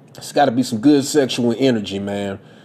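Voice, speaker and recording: Against noticeable background noise, a man with a medium pitch speaks at a moderate pace in an animated tone with ordinary pitch variation. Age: 30s. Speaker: podcaster. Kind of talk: solo podcast monologue, casual commentary. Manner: animated, casual, profane.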